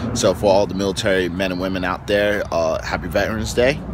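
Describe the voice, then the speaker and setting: Background noise is noticeable, though the sound is dry with no echo. A man with very deep, low pitch speaks at a moderate pace with fairly even intonation. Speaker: fitness coach vlogger. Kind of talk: casual vlog chat. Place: waterside. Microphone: phone near.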